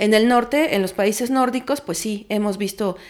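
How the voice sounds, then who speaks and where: A woman's plain, everyday voice, fairly high in pitch, at a moderate pace with fairly even intonation. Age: 30s. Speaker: feminist researcher. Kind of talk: interview.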